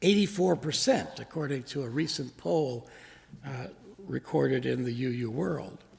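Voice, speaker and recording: A man with a somewhat breathy voice talks at a moderate pace with lively intonation. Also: medium pitch for a man. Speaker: minister giving a sermon. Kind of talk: sermon delivered to a congregation.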